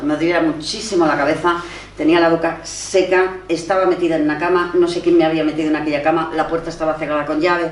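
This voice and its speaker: A woman speaks very fast at a fairly low pitch. Audible room echo and noticeable background noise surround her voice. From Spain, Barcelona. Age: 60s. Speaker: writer and feminist activist. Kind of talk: personal testimony at a panel talk. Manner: animated storytelling.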